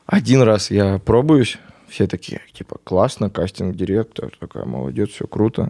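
Talking at a fairly slow pace, a man has a fairly low voice with vocal fry and a dark, mellow tone. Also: big swings in loudness. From Belarus, Grodno region. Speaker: actor and blogger. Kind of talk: casual interview chat. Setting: studio. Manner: animated.

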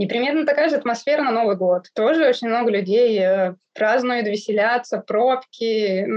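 The speaker has a normal speaking voice, a moderate pace, and ordinary pitch variation. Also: woman. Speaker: Russian expat living in Iraq. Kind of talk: interview conversation.

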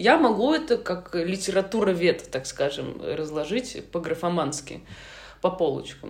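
This woman has a plain, everyday voice, speaking at a fairly slow pace with a fairly low pitch and lively intonation. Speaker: screenwriter, former TV producer. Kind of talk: casual interview chat.

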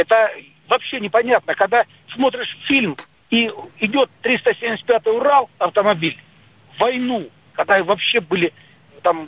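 This man talks at a very slow pace, leaving long, frequent pauses. His pitch is high, with ordinary pitch variation. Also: very even loudness. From Soviet Union. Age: 50s. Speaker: radio caller. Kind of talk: phone-in call. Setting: phone call. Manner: animated.

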